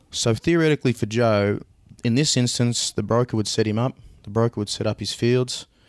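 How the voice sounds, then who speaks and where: A man with an Australian accent talks at a fairly quick pace in a medium pitch, his intonation fairly even. The recording is very clean, with a silent background and a dry, close sound with no echo. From Australia, Swan Hill, Victoria. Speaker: agricultural blockchain startup CEO. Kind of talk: interview.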